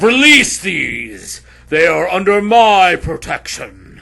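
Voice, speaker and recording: Putting on a character voice, a man speaks very slowly at a high pitch. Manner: commanding.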